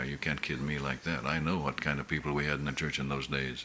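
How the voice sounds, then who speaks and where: Very fast talking from a man, noticeable background noise throughout. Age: 70s. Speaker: pastor. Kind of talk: sermon. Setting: church meeting. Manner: halting.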